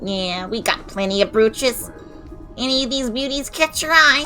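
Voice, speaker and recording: A put-on character voice, fairly high in pitch, at a moderate pace over clear music in the background. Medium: game stream. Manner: gruff, wary.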